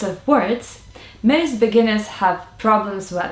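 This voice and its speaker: With a Russian accent, a woman speaks fairly slowly at a fairly high pitch and with lively intonation. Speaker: language tutor. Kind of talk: tutorial.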